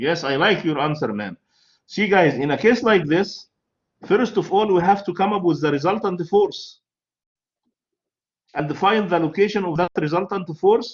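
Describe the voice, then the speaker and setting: Speaking at a moderate pace with long, frequent pauses, a man with an Arabic accent uses a high pitch and ordinary pitch variation. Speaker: university lecturer. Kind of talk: lecture.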